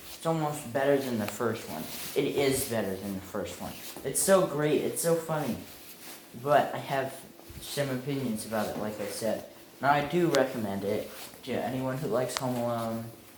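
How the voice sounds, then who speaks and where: Noticeable background noise and audible room echo surround a man speaking at a moderate pace. His pitch is medium, with ordinary variation. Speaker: amateur movie reviewer. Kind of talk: casual video review monologue. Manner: halting, repeats words.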